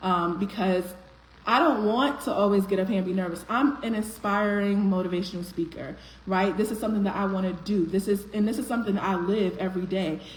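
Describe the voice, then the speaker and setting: A woman speaks at a fairly quick pace with a medium pitch and ordinary pitch variation, with audible room echo and noticeable background noise. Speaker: motivational speaker, live stream host. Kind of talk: live stream motivational talk. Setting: live stream. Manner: voice cracks slightly from nerves; conversational, animated.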